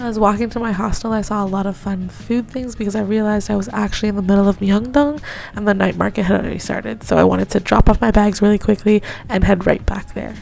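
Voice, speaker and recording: Over noticeable background noise, a woman with a medium pitch talks at a very fast pace using fairly even intonation. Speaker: english teacher abroad, travel vlogger. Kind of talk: vlog voiceover narration.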